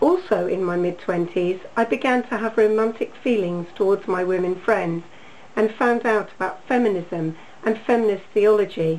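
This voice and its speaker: Noticeable background noise sits under a woman speaking with an English accent. Her fairly high voice moves at a moderate pace with lively intonation. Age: 60s. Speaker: congregation member. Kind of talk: testimony. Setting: video call.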